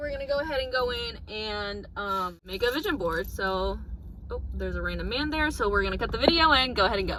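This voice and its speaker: A woman speaks fairly quickly, her voice carrying audible room echo and noticeable background noise. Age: young. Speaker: vlogger. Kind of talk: casual vlog talk to camera. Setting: outdoors on the street.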